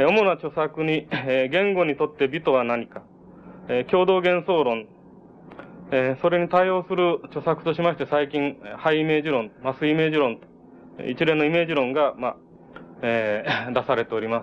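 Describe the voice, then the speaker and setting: The pitch varies in an ordinary way and the pace stays moderate. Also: man, fairly high pitch for a man. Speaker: event moderator. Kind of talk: formal speaker introduction. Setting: lecture hall with echo. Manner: formal, hesitant.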